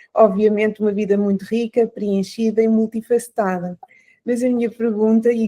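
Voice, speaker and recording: The recording of a woman's medium-pitched voice has a dry, close sound with no echo. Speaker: podcast host. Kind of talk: interview. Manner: hesitant, many fillers.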